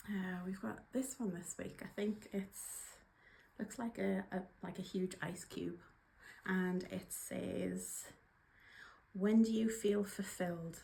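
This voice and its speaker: A woman with a Geordie accent speaks at a fairly slow pace in a medium pitch. Her voice shows vocal fry and ordinary pitch variation. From northeast England, Newcastle upon Tyne. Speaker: workplace trainer and coach. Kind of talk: casual video vlog. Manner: casual, hesitant with fillers.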